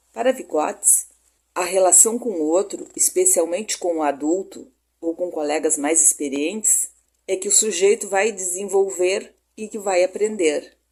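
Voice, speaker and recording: A woman's medium-pitched voice, dark and mellow in tone, at a fairly slow pace with ordinary pitch variation. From southern Brazil, Rio Grande do Sul. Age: 60s. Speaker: pedagogy student. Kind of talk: recorded class presentation. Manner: hesitant, with fillers like né.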